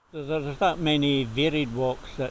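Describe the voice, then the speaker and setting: A man with a southern Scottish accent, monotone and flat in intonation, against noticeable background noise. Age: 70s. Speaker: local walker. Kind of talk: interview.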